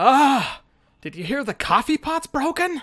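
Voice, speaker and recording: A man puts on a shrill character voice at an extremely high pitch, moving at a moderate pace. The recording is very clean, with a silent background. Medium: actual play. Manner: cranky, snappish.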